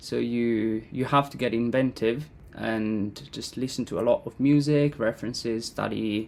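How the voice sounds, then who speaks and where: A man speaks in an Italian accent. His pitch varies in an ordinary way. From Italy. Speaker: composer and educator. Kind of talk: interview.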